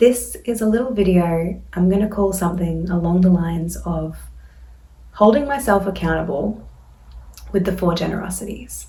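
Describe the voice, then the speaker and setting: Speaking with an Australian accent, the woman keeps a moderate pace. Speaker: Buddhist dharma teacher. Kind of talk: casual talk to camera.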